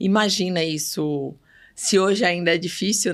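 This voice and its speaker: Someone speaks very slowly with a northeastern Brazilian accent. The recording is very clean, with a silent background. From Bahia, Brazilian Northeast. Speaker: pediatric neurologist. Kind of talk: podcast interview.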